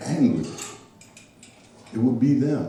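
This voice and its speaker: A man's medium-pitched voice with lively intonation, audible room echo and noticeable background noise. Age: 60s. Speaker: event host. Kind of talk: closing remarks at open mic.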